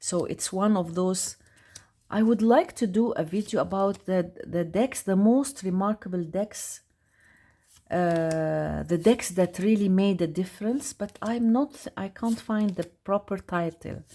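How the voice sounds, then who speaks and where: Her tone is dark and mellow, and she speaks with a non-native accent. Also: medium pitch for a woman, ordinary pitch variation, fairly slow pace. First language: not English. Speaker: tarot youtuber. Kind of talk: casual product review. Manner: halting; animated.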